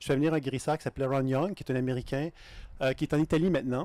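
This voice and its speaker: In a Canadian French accent, a man with a fairly high pitch talks at a very fast pace with fairly even intonation, the sound dry and close with no echo on a very clean recording with a silent background. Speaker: intuition teacher. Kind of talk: lecture. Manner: halting.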